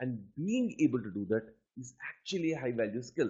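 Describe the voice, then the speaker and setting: A man with a Telugu accent speaks at a moderate pace, somewhat breathy. His pitch swings very widely. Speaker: aptitude trainer. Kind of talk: lecture.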